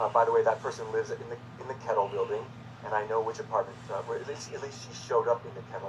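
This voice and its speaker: A man talks at a very fast pace in a flat, monotone delivery. Noticeable background noise runs under his voice. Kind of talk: personal video message. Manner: halting, repeats words; agitated.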